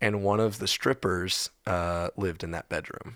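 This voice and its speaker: In a very clean recording with a silent background, a man with an American accent speaks at a fairly slow pace. He has a plain, everyday voice with ordinary pitch variation. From Texas. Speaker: musician. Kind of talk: casual chat.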